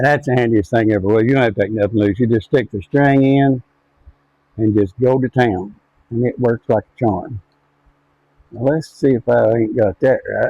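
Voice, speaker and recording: Speaking at a moderate pace with long, frequent pauses, a man uses a medium-pitched voice with ordinary pitch variation. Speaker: farmer and outdoor video maker. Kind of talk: casual vlog narration while working. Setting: farm shop, then outdoors. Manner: soft-spoken; trying to talk louder.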